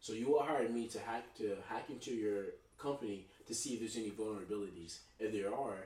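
Recorded with audible room echo, a man with an American accent speaks at a fairly quick pace and medium pitch, somewhat breathy, with ordinary pitch variation. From Texas (Dallas, Oak Cliff) and Tulsa, Oklahoma. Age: 20s. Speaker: army veteran. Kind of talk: casual chat.

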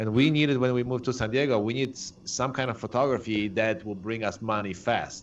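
A man talks at a fairly quick pace with a strong Polish accent. His pitch varies in an ordinary way. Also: medium pitch for a man. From Poland. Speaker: photographer. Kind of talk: casual interview.

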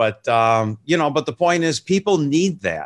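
A man with an unremarkable speaking voice and an American accent talks at a moderate pace. His intonation is lively, and the sound is dry and close with no echo. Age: 60s. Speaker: music TV show host. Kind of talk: casual interview chat. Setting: video call.

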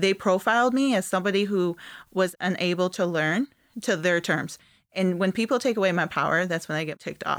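A woman with an American accent speaks at a fairly quick pace, her pitch medium and its variation ordinary. The recording is very clean, with a silent background. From Northern Michigan. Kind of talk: casual interview. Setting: studio.

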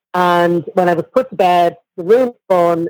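A woman's lively intonation at a moderate pace, dry and close with no echo. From Ireland, Dublin. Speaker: guest in recovery. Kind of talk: testimony.

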